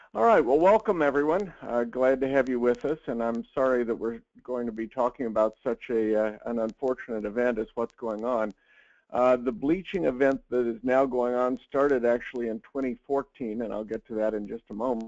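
A man at a moderate pace, ordinary pitch variation, dry sound with no echo, quiet background. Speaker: presenter. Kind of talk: lecture. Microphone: video call.

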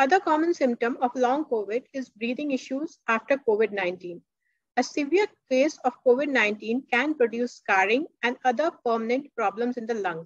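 A high-pitched woman's voice at a moderate pace, in dry sound with no echo. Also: quiet background. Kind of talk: lecture.

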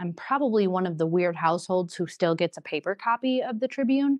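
With an Upper Midwest accent, a woman talks at a moderate pace and a medium pitch. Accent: Upper Midwest American. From Wisconsin Rapids, Wisconsin, USA. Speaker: city council candidate, project manager. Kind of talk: interview answer.

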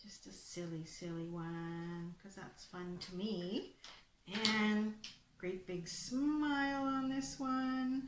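A somewhat breathy voice comes through over noticeable background noise. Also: woman. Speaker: presenter. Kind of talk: tutorial. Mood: cheerful, playful. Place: home room. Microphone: webcam.

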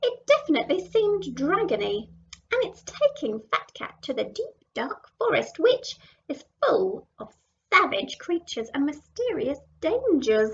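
A woman performs a put-on character voice at an extremely high pitch with very wide swings. She keeps a moderate pace. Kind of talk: picture-book read-aloud to children. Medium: read story. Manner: alarmed, dramatic.

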